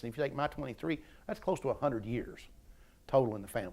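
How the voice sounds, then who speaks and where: With an Appalachian accent, a medium-pitched man talks very fast with lively intonation in a very clean recording with a silent background. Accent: Appalachian Kentucky. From eastern Kentucky. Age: 60s. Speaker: retired university staff member. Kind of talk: oral history interview. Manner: repetitive stammering restarts.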